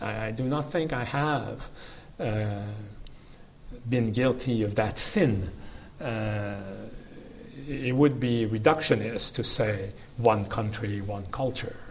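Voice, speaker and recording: A man at a very slow pace and medium pitch, with long, frequent pauses, ordinary pitch variation and noticeable background noise. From Canada. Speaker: law professor. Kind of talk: academic interview. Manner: formal.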